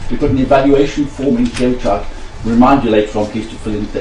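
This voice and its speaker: With noticeable background noise, a man speaks at a very fast pace and fairly even intonation. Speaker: event organiser welcoming delegates. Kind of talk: welcome speech.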